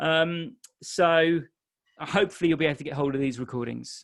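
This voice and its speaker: This man has a non-native accent and a fairly high pitch. His pitch variation is ordinary. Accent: non-Irish accent he says listeners may notice. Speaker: exam tutor. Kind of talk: webinar Q&A. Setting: live webinar. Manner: casual, with fillers.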